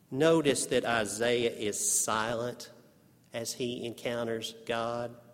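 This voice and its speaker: A man with a Texas Panhandle accent speaks at a medium pitch. His delivery is very slow, with monotone, flat intonation. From Texas panhandle, Amarillo. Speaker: preacher and seminary professor. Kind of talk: sermon. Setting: chapel service with congregation.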